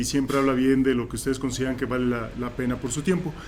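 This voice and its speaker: A man talks at a fairly high pitch. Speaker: philosophy professor. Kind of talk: panel introduction to audience. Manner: loud voice.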